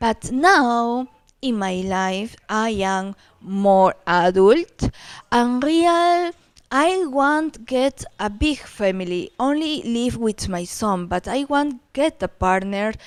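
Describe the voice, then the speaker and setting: A woman's fairly high voice in a Peruvian accent, with very wide pitch swings, at a very slow pace, in a dry, close sound with no echo. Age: 40s. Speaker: dating agency client. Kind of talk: video introduction interview. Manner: halting.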